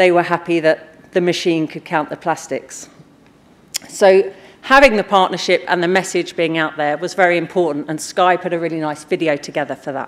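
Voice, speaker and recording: A plain, everyday voice moves at a moderate pace, its intonation fairly even. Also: woman, fairly low pitch for a woman. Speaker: conference speaker. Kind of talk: conference talk. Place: stage.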